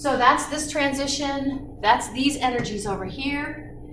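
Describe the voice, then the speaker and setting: Noticeable background noise and audible room echo around a woman speaking fairly slowly. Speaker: chemistry instructor. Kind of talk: lecture. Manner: animated.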